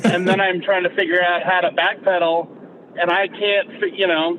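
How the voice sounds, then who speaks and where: This man talks at a fairly quick pace with a high pitch. Noticeable background noise runs behind him. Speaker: podcast co-host. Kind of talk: casual discussion on a live call. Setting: call. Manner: loud; intense, with an edge. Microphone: poor connection.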